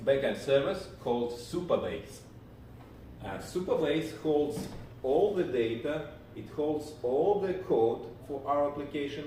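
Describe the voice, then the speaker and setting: A man with a Russian accent speaks at a fairly slow pace, with a fairly high pitch and ordinary pitch variation. Audible room echo and noticeable background noise surround his voice. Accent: Russian accent, non-native English. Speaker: programming instructor. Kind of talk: live tutorial stream. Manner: halting, many fillers.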